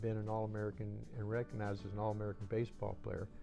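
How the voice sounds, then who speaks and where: A man talks in a fairly low pitch. There is music behind his voice. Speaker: former college baseball player. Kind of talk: interview answer.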